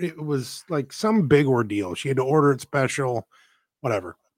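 In an ordinary speaking voice, a man talks at medium pitch and a fairly slow pace with lively intonation, recorded dry and close with no echo, very clean against a silent background. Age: 40s. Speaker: podcast co-host. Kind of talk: casual chat.

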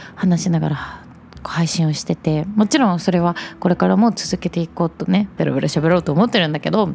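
Noticeable background noise sits behind a woman's fairly low voice. She talks at a moderate pace with ordinary pitch variation. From Japan, Chugoku region (Shimane/Okayama). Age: 20s. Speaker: podcast host. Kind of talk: solo casual monologue.

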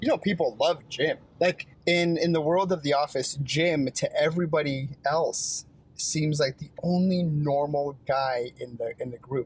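An ordinary speaking voice. It moves at a fairly slow pace with fairly even intonation. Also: man, fairly high pitch for a man. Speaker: podcast co-host. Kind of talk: casual chat.

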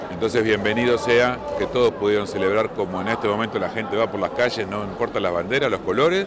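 Noticeable background noise sits behind a man's voice. He speaks at a very fast pace with a fairly low pitch. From Argentina. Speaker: sports correspondent. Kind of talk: casual discussion.

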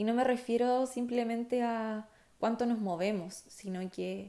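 Her tone is dark and mellow as this woman speaks at a fairly slow pace. She keeps her intonation fairly even. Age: 20s. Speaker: podcast host, architecture student. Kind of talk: casual personal podcast monologue.

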